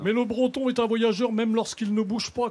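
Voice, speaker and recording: A man at a fairly quick pace. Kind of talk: live TV show anecdote.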